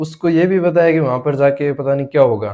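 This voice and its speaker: A man's dark, mellow voice at a fairly high pitch. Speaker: vlogger. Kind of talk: casual monologue to camera. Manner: halting, repeats words.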